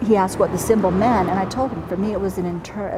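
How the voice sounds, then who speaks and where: A woman's medium-pitched voice at a very fast pace with fairly even intonation, plus audible room echo and noticeable background noise. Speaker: nursing professor. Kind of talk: testimony.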